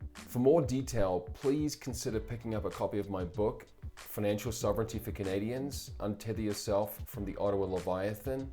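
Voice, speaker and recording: With music in the background, a man speaks in a fairly low pitch in a New Zealand accent. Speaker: publisher and political commentator. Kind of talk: scripted commentary monologue. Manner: formal.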